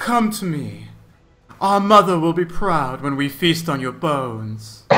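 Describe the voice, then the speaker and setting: A man's put-on character voice, fairly high in pitch, over faint music in the background. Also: fairly slow pace. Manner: menacing.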